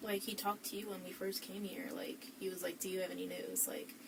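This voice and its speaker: Speaking fairly quickly at medium pitch with an American accent, a woman is heard with audible room echo and noticeable background noise. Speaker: witness (suspect's girlfriend). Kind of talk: police interview. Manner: frequent 'like' fillers.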